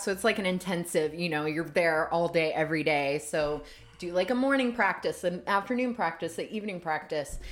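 A woman with an American accent and an unremarkable speaking voice, lively in intonation, at a moderate pace. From US South, Savannah, Georgia. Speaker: bodyworker and intimacy coach. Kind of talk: casual interview chat.

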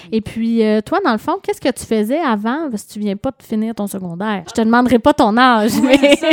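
With a Quebec accent, a woman talks at a fairly high pitch with hardly any pauses and big swings in loudness. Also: ordinary pitch variation, moderate pace, dry, close sound with no echo. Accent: Québécois French. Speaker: radio host. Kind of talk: radio interview. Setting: studio.

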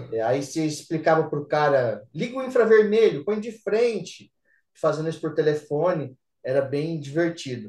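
With an ordinary speaking voice, a man talks at a moderate pace and fairly high pitch using lively intonation. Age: 40s. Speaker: systems analyst. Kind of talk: casual chat.

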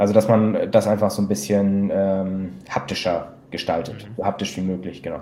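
A man with a normal speaking voice talks at a moderate pace, his fairly low pitch carried by fairly even intonation. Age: 20s. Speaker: investment company client advisor. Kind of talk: interview.

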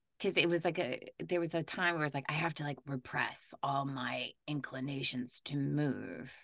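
A woman with a very deep, low pitch speaks with vocal fry and hardly any pauses. The background is quiet. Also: fairly even intonation, moderate pace. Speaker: voice and performance capture actor. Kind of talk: casual chat.

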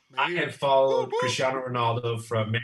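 Moderate-paced speech from a man with an American accent. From Texas. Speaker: football fan, giveaway winner. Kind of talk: casual chat.

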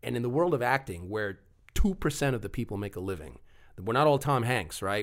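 On a very clean recording with a silent background, a man with an American accent uses an unremarkable speaking voice, lively intonation and a moderate pace. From Long Island, New York. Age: 40s. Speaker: actor and TV referee. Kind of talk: casual chat.

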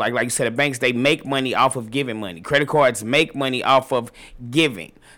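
A man with an American accent, a bright, sharp tone, ordinary pitch variation and a fairly quick pace. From St. Louis, Missouri. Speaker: stylist and entrepreneur. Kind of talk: casual interview.

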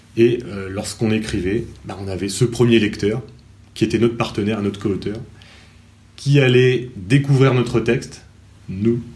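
In a room with audible echo, a man speaks fairly slowly in a fairly low, somewhat breathy voice with ordinary pitch variation. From France, Normandy (Cherbourg). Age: 30s. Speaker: teacher and novelist. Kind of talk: interview. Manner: halting.

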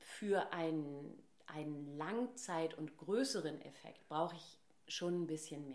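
A woman speaks at a very slow pace with a very deep, low pitch. Her intonation is lively. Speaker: voice trainer and speech therapist. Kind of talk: casual interview.

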